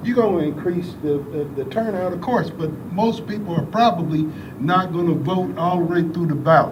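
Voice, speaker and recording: Noticeable background noise sits under the speech. It moves at a moderate pace. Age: 60s. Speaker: public commenter. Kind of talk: public comment at meeting.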